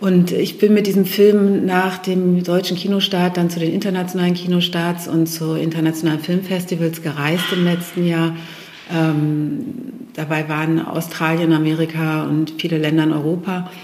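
A woman with a fairly low pitch speaks in a flat monotone, with noticeable background noise and audible room echo. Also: moderate pace. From Lower Saxony, Germany (Steinhude near Hannover). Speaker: film director and photo artist. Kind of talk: interview. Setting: art gallery. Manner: hesitant, many fillers.

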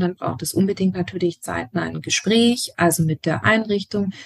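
A woman's medium-pitched, somewhat breathy voice at a moderate pace, dry and close with no echo. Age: 40s. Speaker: educator and family counselor. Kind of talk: interview.

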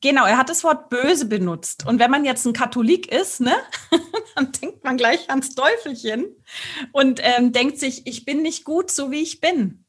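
At a fairly slow pace, a woman talks in a high pitch with lively intonation. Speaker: sex coach and speech therapist. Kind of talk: casual interview. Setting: studio video recording.

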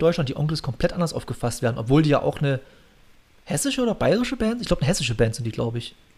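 Somewhat breathy and fairly high-pitched, a man's voice makes very wide pitch swings. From Saxony, eastern Germany (Bautzen). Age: 30s. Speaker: podcast host, hobby drummer. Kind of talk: casual chat.

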